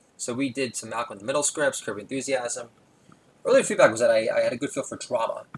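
A man talks at a very fast pace. His loudness swings a great deal. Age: 40s. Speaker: podcast host. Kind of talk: solo comedic monologue. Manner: rambling with many filler words.

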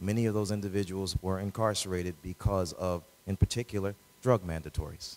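A man with a very deep, low pitch talks at a fairly quick pace with fairly even intonation. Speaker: lawyer, judicial candidate; lawyer, candidate. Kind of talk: candidate forum Q&A. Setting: public event with audience, live radio broadcast. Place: hall. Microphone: handheld.

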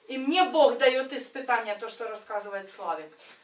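A woman's high-pitched voice with audible room echo. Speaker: church member. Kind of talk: testimony. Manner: animated. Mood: earnest, emotional storytelling. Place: home room. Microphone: camera far.

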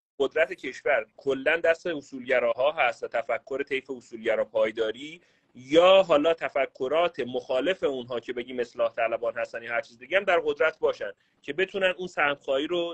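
With an ordinary speaking voice, a man talks at a fairly quick pace and a fairly high pitch, using ordinary pitch variation and hardly any pauses against a quiet background. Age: 30s. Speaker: caller. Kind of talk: casual chat. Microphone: video call.

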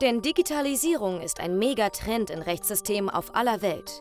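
Music plays behind a woman who speaks at a moderate pace with very wide pitch swings. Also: medium pitch for a woman. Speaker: narrator of a TV report. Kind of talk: documentary report voice-over.

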